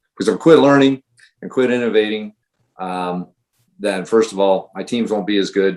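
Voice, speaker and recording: A man speaks at a middling speed, his intonation varying as usual. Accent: US Midwestern. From Ohio. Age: 60s. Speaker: high school running coach. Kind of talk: podcast interview. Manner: hesitant, many fillers.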